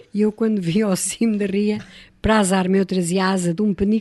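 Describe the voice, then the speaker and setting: A woman of medium pitch with a dark, mellow tone, fairly even intonation and a fairly quick pace. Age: 60s. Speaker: radio guest reminiscing. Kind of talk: radio interview, personal reminiscence.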